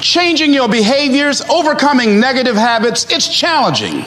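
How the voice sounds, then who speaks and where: Over noticeable background noise, a man with an extremely high pitch speaks in an energetic tone at a moderate pace. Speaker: motivational speaker. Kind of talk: motivational speech to a live audience. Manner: energetic, emphatic, humorous.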